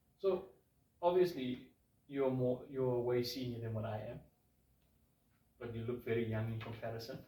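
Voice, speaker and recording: A man speaks in a dark, mellow tone that is somewhat breathy. His speech has long, frequent pauses. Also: medium pitch for a man, ordinary pitch variation, moderate pace. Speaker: online show host. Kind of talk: interview. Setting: studio.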